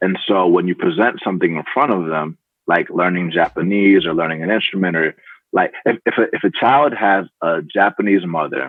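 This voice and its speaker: A man speaks in a very deep, low pitch. His pace is moderate, with ordinary pitch variation. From Atlanta, US South. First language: Spanish. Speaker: startup founder and CEO. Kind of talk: podcast interview.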